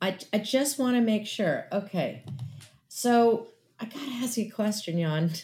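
Lively intonation runs through a dark, mellow, somewhat breathy tone delivered at a fairly slow pace. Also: woman, fairly high pitch for a woman. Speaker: podcast host. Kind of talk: casual interview.

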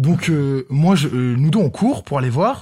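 The speaker is a man with a fairly high pitch and a dark, mellow tone. His pitch varies in an ordinary way. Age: 20s. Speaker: podcast guest co-host. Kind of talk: casual chat.

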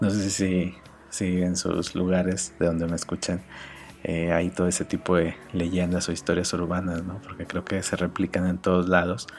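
With a very deep, low pitch and monotone, flat intonation, a man speaks at a moderate pace. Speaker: podcast host and graphic designer. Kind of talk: casual solo podcast monologue. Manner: halting, many fillers and repetitions.

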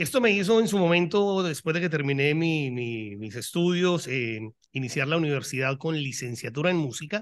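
Against a quiet background, a man with a fairly high pitch and an ordinary speaking voice speaks at a moderate pace with lively intonation. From Colombia. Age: 40s. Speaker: rock podcaster. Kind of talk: casual chat.

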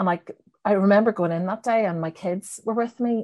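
The speaker is a woman with a Northern Irish accent. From Northern Ireland. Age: 40s. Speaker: novelist. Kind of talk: casual interview chat.

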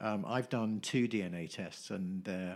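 This man's voice is fairly low in pitch. His pitch varies in an ordinary way. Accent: English. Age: 50s. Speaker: nutritionist. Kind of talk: casual chat. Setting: at his home.

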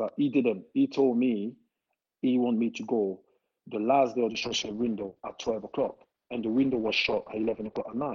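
A man at medium pitch with a French accent, fairly quick pace and monotone, flat intonation. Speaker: former footballer. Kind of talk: casual interview. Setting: remote call during lockdown. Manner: halting.

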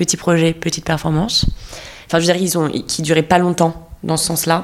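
This woman's voice sits fairly low in pitch. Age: 30s. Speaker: theatre actress. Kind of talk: casual chat.

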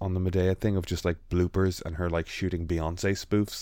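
In an Irish accent, a man with a very deep, low pitch talks at a moderate pace and fairly even intonation, on a very clean recording with a silent background. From Ireland. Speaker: illustrator and podcast host. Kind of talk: casual chat.

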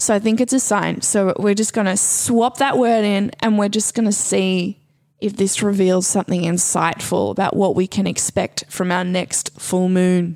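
A woman's medium-pitched, slightly mellow voice at a moderate pace, with fairly even intonation and few pauses

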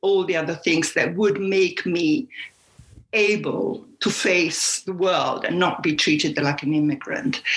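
A woman speaks at a fairly slow pace with lively intonation and an Italian accent. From Puglia, southern Italy. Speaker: cookbook author. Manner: halting, repeats words.

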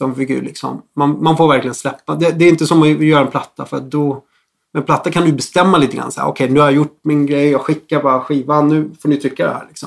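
At a very fast pace, a man talks in a monotone, flat intonation at a fairly high pitch. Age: 40s. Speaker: music producer. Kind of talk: casual chat.

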